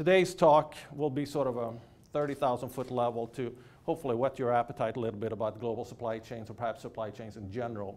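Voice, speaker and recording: A man at a very fast pace, medium pitch and fairly even intonation. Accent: Swedish. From Sweden. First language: Swedish. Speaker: business professor. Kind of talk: keynote lecture. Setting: lecture hall with audience.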